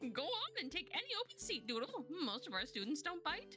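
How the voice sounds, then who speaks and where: A woman's put-on character voice at a fairly quick pace, with clear music in the background. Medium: virtual streamer. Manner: scatterbrained, cheerful.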